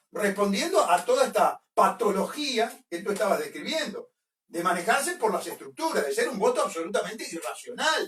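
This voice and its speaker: In an animated tone and with a Uruguayan accent, a man speaks at an extremely high pitch with very wide pitch swings. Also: moderate pace. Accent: Rioplatense Spanish (Uruguayan). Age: 60s. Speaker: political commentator. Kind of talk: radio interview. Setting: radio studio.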